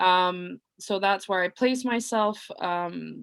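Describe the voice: Slowly, a woman speaks at a fairly low pitch with vocal fry. Her tone is clear, smooth and fairly bright. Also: ordinary pitch variation.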